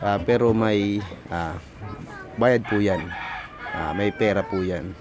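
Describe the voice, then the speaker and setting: A man talks in a fairly low pitch. Noticeable background noise is present. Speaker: vlogger. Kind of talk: casual vlog narration.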